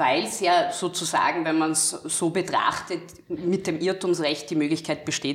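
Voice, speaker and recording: With a plain, everyday voice, a woman speaks at a fairly slow pace, her fairly low pitch showing ordinary variation. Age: 20s. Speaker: lawyer and legal scholar. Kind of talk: interview about law.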